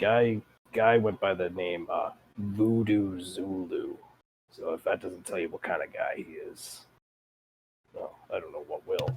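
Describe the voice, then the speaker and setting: A man puts on a raspy character voice, speaking at a fairly slow pace with long, frequent pauses. His loudness swings widely. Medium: actual play. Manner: casual, rambling, folksy.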